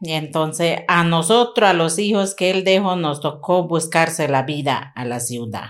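Speaking in a normal speaking voice, a woman talks at a fairly slow pace with hardly any pauses, her fairly low pitch carried by lively intonation. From La Chorrera, Amazonas, Colombia. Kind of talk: interview testimony.

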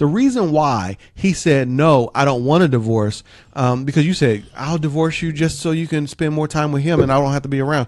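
With hardly any pauses, a man talks at a fairly quick pace and a fairly high pitch with ordinary pitch variation. His is an unremarkable speaking voice. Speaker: relationship counselor and podcast host. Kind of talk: advice podcast answering a listener letter. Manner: calm, gentle, preacher-like.

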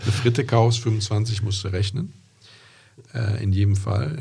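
Audible room echo surrounds a man speaking at a moderate pace in a fairly low pitch with fairly even intonation. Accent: slight Rhineland. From Rhineland, Germany (Andernach). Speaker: classic car podcast host. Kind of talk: casual chat. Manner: hesitant, many fillers.

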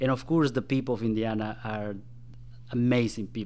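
The speaker talks at a moderate pace in a Spanish accent. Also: man. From Guatemala. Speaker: political candidate and former government staffer. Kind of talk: radio interview.

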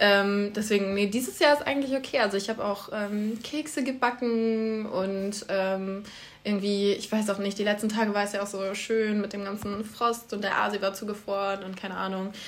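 A woman with a medium pitch and an unremarkable speaking voice talks at a moderate pace with fairly even intonation. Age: 20s. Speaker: student podcast co-host. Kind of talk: casual chat.

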